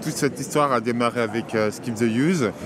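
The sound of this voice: A man speaks at a moderate pace in a medium-pitched voice with ordinary pitch variation, and clear background noise is audible.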